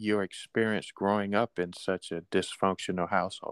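Heard here is a normal speaking voice at a fairly slow pace. The sound is dry and close with no echo, and the recording is very clean, with a silent background. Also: man. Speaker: podcast host. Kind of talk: casual interview.

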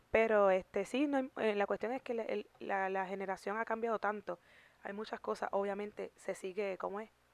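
In a quiet background with a dry, close sound and no echo, a woman of medium pitch speaks at a moderate pace with fairly even intonation and an unremarkable speaking voice. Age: 30s. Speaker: YouTube podcast co-host. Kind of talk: casual chat.

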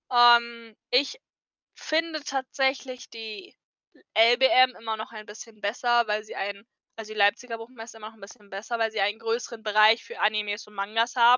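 Her loudness swinging widely, a woman speaks in an ordinary speaking voice at a moderate pace, with fairly high pitch and fairly even intonation. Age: 20s. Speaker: cosplayer. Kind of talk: casual chat.

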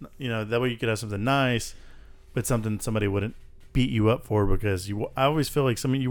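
With an American accent, a man talks fairly quickly in a normal speaking voice, his pitch medium and its variation ordinary. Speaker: podcast host. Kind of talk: casual chat.

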